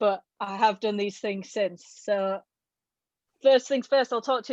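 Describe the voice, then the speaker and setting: A woman with a Yorkshire accent at a medium pitch and moderate pace, her intonation fairly even, in a dry, close sound with no echo against a quiet background. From northern England, Halifax, West Yorkshire. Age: 20s. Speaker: adventurer and former diving coach. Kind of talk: presentation talk.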